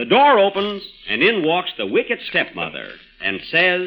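A man does a put-on character voice, high-pitched with very wide pitch swings. He goes at a fairly slow pace while faint music plays in the background.

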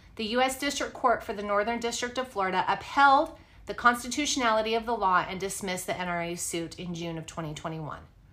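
A woman with an unremarkable speaking voice talks at a fairly quick pace and fairly high pitch, her intonation lively and her loudness swinging widely. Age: 40s. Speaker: true crime podcast host. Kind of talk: casual chat; reading notes aloud.

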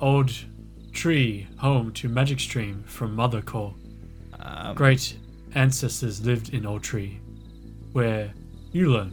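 Over clear music in the background, a man in a put-on character voice speaks at medium pitch and a fairly slow pace, with long, frequent pauses. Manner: broken, clipped speech, solemn and cryptic.

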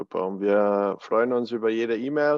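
Here is a man with a plain, everyday voice. He speaks at a moderate pace in a medium pitch. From Bavarian Alpine foothills, Germany. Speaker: podcast co-host, former college soccer goalkeeper. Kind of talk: casual chat.

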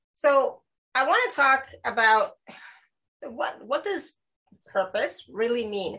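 A woman projects her raised voice at a high pitch with a bright, sharp tone and very wide pitch swings. She speaks at a very slow pace, leaving long, frequent pauses. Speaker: spiritual talk show host. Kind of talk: casual interview. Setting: live video stream.

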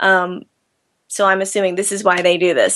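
This woman talks at a fairly quick pace in a bright, sharp tone. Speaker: singer. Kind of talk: interview. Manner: halting.

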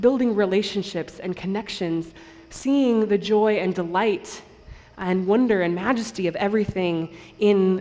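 This is an unforced reading voice. Pitch variation is ordinary.

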